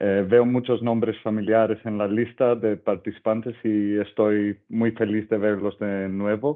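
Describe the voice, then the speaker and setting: In a non-native accent, a man speaks at a fairly low pitch and a fairly slow pace with monotone, flat intonation. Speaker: UN crime prevention officer. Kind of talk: webinar presentation. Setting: video call.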